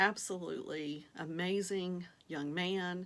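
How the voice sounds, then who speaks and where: With a Southern US accent, a woman speaks at a fairly low pitch using fairly even intonation. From Virginia, US South. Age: 50s. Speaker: vlogger, online reseller. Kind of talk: casual vlog introduction. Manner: hesitant with frequent fillers.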